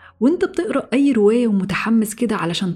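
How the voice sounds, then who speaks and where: A woman's calm, warm tone with a Cairo accent and ordinary pitch variation. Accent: Egyptian Arabic (Cairene). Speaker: podcast host. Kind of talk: motivational monologue.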